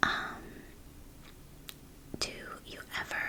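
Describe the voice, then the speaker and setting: Noticeable background noise beneath a whisper. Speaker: ASMR creator doing a therapist role play. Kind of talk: ASMR therapy intake role play, spoken to the viewer. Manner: whispering, soft and reassuring.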